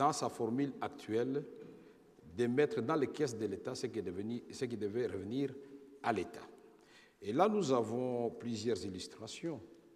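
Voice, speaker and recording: The man's pitch sits in the medium range and varies ordinarily. He speaks fairly slowly. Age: 50s. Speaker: former politician, witness. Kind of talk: testimony before tribunal. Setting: tribunal hearing.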